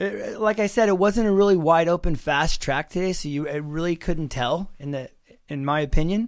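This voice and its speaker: A high-pitched man at a moderate pace, with ordinary pitch variation. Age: 50s. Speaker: former pro motocross racer, test rider. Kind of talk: casual bike review chat.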